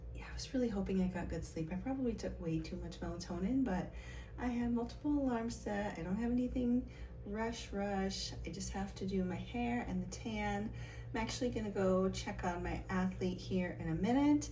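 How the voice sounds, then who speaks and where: Soft-spoken and at a moderate pace, a woman talks in a room with audible echo and noticeable background noise. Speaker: bodybuilding competitor and vlogger. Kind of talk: casual vlog. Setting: hotel room.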